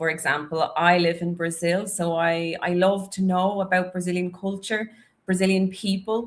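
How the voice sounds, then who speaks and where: A woman with a Dublin accent speaks at a fairly slow pace in a medium pitch. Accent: Dublin Irish. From Ireland, Dublin. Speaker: English teacher. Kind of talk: live stream chat. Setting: live stream on YouTube and Instagram. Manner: casual, chatty.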